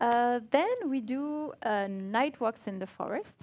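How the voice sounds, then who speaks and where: Ordinary pitch variation marks the speech of a woman with a French accent. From France. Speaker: multimedia creative director. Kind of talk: conference talk. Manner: halting.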